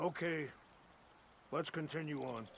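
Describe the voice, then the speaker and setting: In a put-on character voice that is raspy and calm in tone, the speaker uses ordinary pitch variation over clear background noise. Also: man, fairly high pitch for a man. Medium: video game. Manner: calm, earnest.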